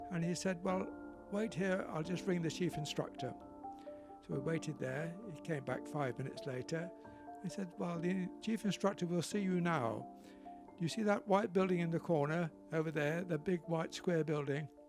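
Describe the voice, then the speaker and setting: Music plays behind a man with a fairly high pitch. His intonation is lively. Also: moderate pace. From Southampton, England. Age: 80s+. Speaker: retired RAF pilot. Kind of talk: interview answer.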